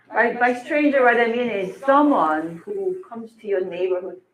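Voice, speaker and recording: At a moderate pace, a woman with a Korean accent talks in a fairly high pitch. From South Korea, Seoul. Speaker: film studies professor. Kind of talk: public lecture.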